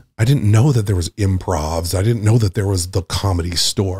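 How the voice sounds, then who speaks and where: A somewhat breathy voice moves at a moderate pace with fairly even intonation, captured in a very clean recording with a silent background. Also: man. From Nantucket, Massachusetts. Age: 40s. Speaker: comedian. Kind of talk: casual chat.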